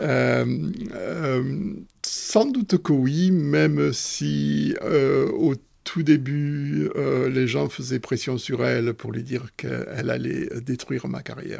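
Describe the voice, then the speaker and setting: Very slow speech from a man, with noticeable noise in the background. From southwestern France. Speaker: mathematician, professor. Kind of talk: casual interview. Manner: hesitant, many fillers.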